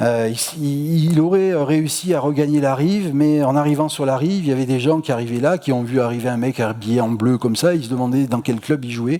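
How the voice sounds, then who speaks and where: At a fairly quick pace, a man with a Marseille accent talks at medium pitch with ordinary pitch variation. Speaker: astronomy lecturer. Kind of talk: public lecture. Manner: casual, many hesitations and repetitions.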